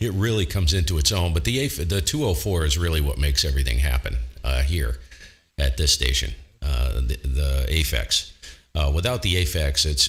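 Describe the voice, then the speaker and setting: A man's very deep, low voice, somewhat breathy, at a moderate pace with ordinary pitch variation and very even loudness, on a very clean recording against a silent background. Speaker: ham radio operator and streamer. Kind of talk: casual chat. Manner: halting, many fillers.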